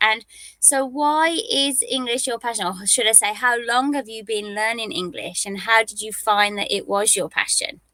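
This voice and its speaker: A woman with a British accent speaks at a moderate pace in a bright, sharp tone. Her pitch is fairly high, with ordinary variation. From United Kingdom. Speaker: English tutor. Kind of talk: casual chat.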